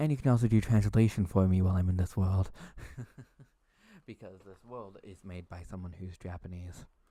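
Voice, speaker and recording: Soft-spoken, a man with very deep, low pitch and a dark, mellow tone leaves long, frequent pauses on a very clean recording with a silent background. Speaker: ASMR streamer. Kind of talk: live stream chat. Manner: quiet, soft-spoken; flat, emotionless.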